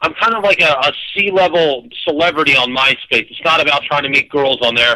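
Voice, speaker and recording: Bright and sharp in tone, the voice moves at a fairly quick pace with ordinary pitch variation. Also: man. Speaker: caller. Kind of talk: casual chat. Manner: loud.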